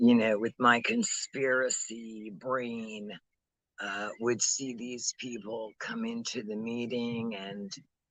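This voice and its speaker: At a very slow pace, a man of medium pitch speaks with fairly even intonation but big swings in loudness. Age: 60s. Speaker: recovering addict vlogger. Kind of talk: casual vlog monologue. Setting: outdoors. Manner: halting, many fillers.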